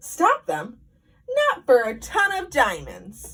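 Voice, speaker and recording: A woman's put-on character voice at a very slow pace. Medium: read story. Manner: imperious, blustering.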